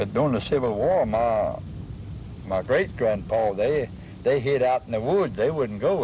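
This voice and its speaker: Noticeable background noise runs through the clip. Over it, a man talks at medium pitch. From south Louisiana coast. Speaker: former resident. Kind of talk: oral history interview.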